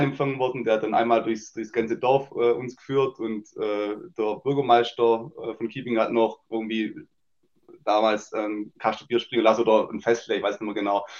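A man talks at a moderate pace with fairly even intonation. His is an unremarkable speaking voice at medium pitch. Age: 30s. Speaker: amateur football captain. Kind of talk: casual interview.

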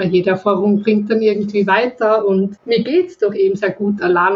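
A woman with a Viennese accent speaks at a moderate pace and medium pitch, her intonation fairly even, over noticeable background noise. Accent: Viennese Austrian German. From Austria, Vienna. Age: 20s. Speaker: webcam model. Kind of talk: casual interview chat. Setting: remote call from home. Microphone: laptop FaceTime call.

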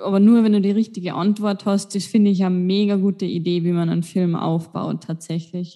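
A woman's medium-pitched voice has a dark, mellow tone and monotone, flat intonation. She moves at a fairly quick pace with hardly any pauses. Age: 20s. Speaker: podcast co-host. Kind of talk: casual chat.

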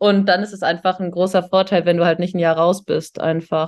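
A woman's fairly low voice, monotone and flat in intonation. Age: 30s. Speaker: engineer. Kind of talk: casual chat.

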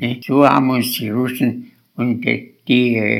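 Medium in pitch, a man's voice moves at a very slow pace. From Lower Saxony, Germany. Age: 80s+. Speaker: war veteran. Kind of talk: life story interview. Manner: halting.

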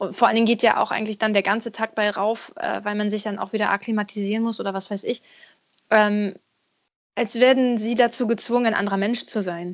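A woman talks in a normal speaking voice at a fairly quick pace. Her pitch is fairly high and her intonation fairly even. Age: 30s. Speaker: singer and voice actor. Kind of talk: casual interview.

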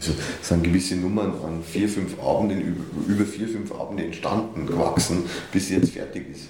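A man speaks at a moderate pace with a very deep, low pitch and fairly even intonation. The room echo is audible, and background noise is noticeable. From Upper Bavaria, Germany. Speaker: newspaper editor and cabaret artist. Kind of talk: casual interview. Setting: studio, sitting face to face.

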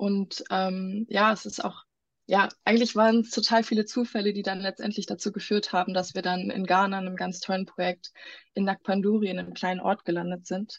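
A woman talks at medium pitch and a moderate pace in a flat, monotone way, sounding somewhat breathy. The sound is dry and close with no echo, over a quiet background. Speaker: medical student running a charity for children in Ghana. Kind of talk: casual interview.

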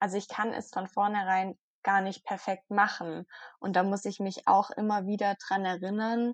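A woman's medium-pitched, monotone, flat delivery at a moderate pace, with a dry, close sound with no echo and a quiet background. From southwestern Germany, near Stuttgart. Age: 20s. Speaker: blogger on eating disorder recovery. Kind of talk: interview, personal testimony. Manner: hesitant with frequent fillers.

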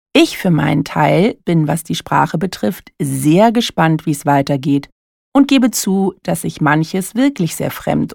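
A woman speaks at a fairly slow pace in a very deep, low voice, with lively intonation and vocal fry. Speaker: coach and podcast host. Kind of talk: solo monologue podcast.

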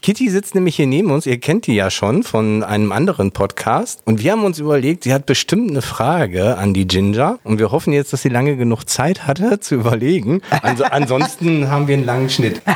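A man with a fairly high pitch, very wide pitch swings, very even loudness and a fairly quick pace, over noticeable background noise. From Austria. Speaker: podcast host. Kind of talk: casual interview.

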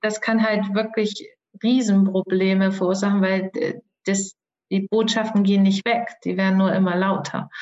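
A woman speaks at a medium pitch in a somewhat breathy voice with monotone, flat intonation, very even loudness, and long, frequent pauses. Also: moderate pace. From Germany, Thuringia. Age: 40s. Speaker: soul guide and coach. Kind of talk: podcast interview.

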